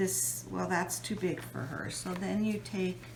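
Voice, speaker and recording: A woman talks fairly slowly, with audible room echo and noticeable background noise around her. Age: 60s. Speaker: mixed media artist. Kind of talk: tutorial. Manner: casual, hesitant with fillers.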